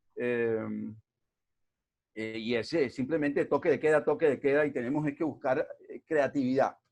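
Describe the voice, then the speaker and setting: The pace is moderate, broken by long, frequent pauses. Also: man, fairly high pitch for a man, ordinary pitch variation. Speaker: invited lecturer on regional development. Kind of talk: lecture. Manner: hesitant, many fillers.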